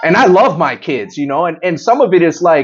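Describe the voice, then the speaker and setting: Loud and high-pitched, a man talks at a fairly quick pace with lively intonation. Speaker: podcast host. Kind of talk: casual chat.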